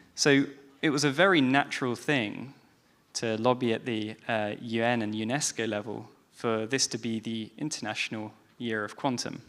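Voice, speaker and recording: Over a silent background on a very clean recording, a man with a British accent speaks at a moderate pace, his medium-pitched voice carrying fairly even intonation. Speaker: panel moderator. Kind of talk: panel discussion. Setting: stage with audience.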